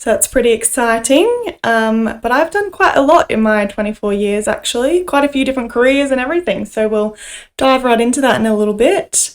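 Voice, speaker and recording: A woman with an Australian accent speaks at a fairly quick pace. Her high voice has lively intonation. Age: 20s. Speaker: nurse and podcast co-host. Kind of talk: casual chat.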